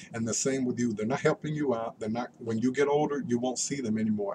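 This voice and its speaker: Very fast speech from a man with a medium-pitched voice, amid noticeable background noise. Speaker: vlogger. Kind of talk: personal rant to camera. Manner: animated.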